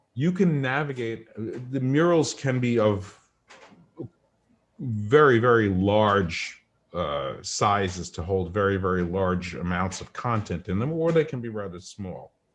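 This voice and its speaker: A man's fairly low voice with lively intonation, at a fairly slow pace. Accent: strong New York. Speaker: coach demonstrating a virtual whiteboard. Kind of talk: tutorial.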